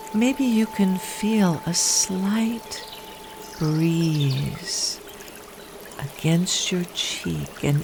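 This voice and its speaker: Over noticeable background noise, a woman talks very slowly at a medium pitch with ordinary pitch variation. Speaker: hypnotherapist. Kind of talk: guided hypnosis. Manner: slow, soft-spoken.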